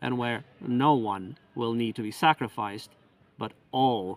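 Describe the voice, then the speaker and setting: This man has an unremarkable speaking voice at a medium pitch, with ordinary pitch variation. He speaks at a fairly slow pace. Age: 50s. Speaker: independent researcher and author. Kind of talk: appeal for donations. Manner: formal.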